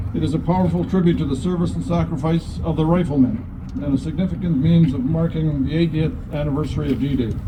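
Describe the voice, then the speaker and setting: Amid noticeable background noise and audible room echo, a man with a Canadian accent talks very fast at a fairly high pitch with very wide pitch swings. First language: Woodland Cree. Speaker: lieutenant governor. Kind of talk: ceremonial speech. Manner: formal.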